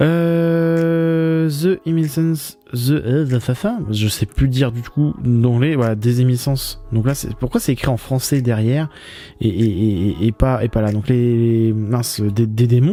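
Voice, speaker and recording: Over music in the background, a man speaks at a very slow pace with a medium pitch and lively intonation. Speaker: manga vlogger. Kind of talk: casual vlog commentary in bookshop. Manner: stammering, halting; casual, many fillers.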